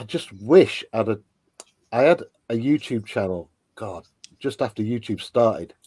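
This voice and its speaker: A man with an English accent talks at a moderate pace and medium pitch, his tone dark and mellow with lively intonation. He leaves long, frequent pauses, and the recording is very clean with a silent background. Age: 50s. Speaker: toy and model kit YouTuber. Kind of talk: casual livestream chat.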